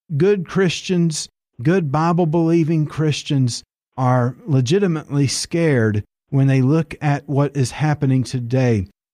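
A man with an Appalachian accent speaks fairly slowly at a fairly high pitch in a dark, mellow tone, with ordinary pitch variation and very even loudness, in a dry, close sound with no echo on a very clean recording over a silent background. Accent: Appalachian Southern US. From Tennessee mountains (Appalachia). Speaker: evangelist, author.

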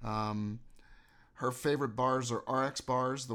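With fairly even intonation, a man talks at a fairly slow pace in an unremarkable speaking voice. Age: 50s. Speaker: fitness podcast host and musician. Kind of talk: casual interview.

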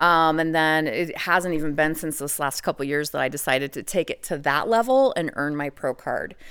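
On a very clean recording with a silent background, a woman with a very deep, low voice talks at a fairly quick pace with ordinary pitch variation and hardly any pauses. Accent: American. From US, Idaho. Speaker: legal brothel sex worker. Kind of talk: podcast interview.

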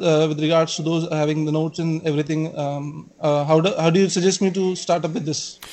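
Over noticeable background noise, a high-pitched man with an Indian accent talks fairly quickly with fairly even intonation and hardly any pauses. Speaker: caller, exam candidate. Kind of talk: call-in question. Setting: online call. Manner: halting.

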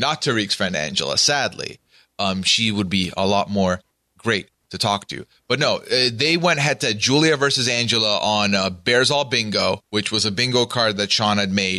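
A man speaks with a bright, sharp tone and ordinary pitch variation. The background is quiet. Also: medium pitch for a man, moderate pace. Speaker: co-host, reality TV commentator. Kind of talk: casual chat.

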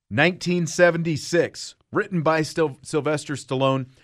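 A man with a normal speaking voice at a fairly high pitch, at a fairly slow pace, on a very clean recording with a silent background. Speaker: podcast host. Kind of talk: casual chat.

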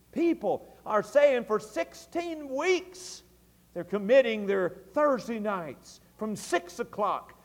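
Talking very slowly with a Tennessee accent, this man has an extremely high pitch that swings very widely. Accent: Southern US (Tennessee). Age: 40s. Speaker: pastor. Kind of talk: early-2000s Southern Baptist evening sermon, fervent revival-style exhortation. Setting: church service. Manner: impassioned, rising preacher's cadence with repeated emphatic phrases.

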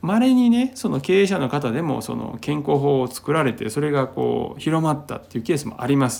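At a fairly quick pace, a man with a plain, everyday voice speaks at a fairly high pitch with lively intonation. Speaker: podcast host, healer. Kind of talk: solo talk monologue. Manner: relaxed, many fillers.

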